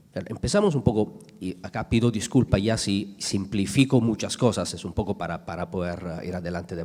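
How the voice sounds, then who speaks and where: A man with an Italian accent and ordinary pitch variation. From Italy. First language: Italian (speaking Spanish). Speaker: energy sector panelist. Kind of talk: conference panel talk. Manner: halting, many fillers and restarts.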